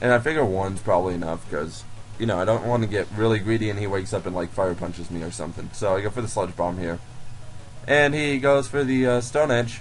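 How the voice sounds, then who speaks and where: Music plays in the background as a man talks very fast. His voice is fairly low, with lively intonation. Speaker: gaming commentator. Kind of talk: game commentary voice-over. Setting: laptop recording.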